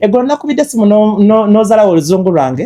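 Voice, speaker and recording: The tone is dark and mellow. The speaker has a Ugandan accent. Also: man. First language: Luganda. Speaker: talk show host and interviewer. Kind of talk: casual interview chat.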